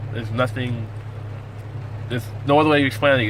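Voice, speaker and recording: A man's medium-pitched voice, with fairly even intonation, comes through audible room echo and noticeable background noise. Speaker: navy sailor and cook. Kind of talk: casual vlog tutorial. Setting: in a car. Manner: fast.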